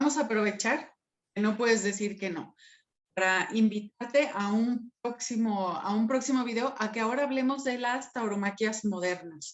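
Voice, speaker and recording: In a Mexican accent, a woman speaks at a fairly slow pace with a fairly high pitch. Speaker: talk show host. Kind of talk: interview.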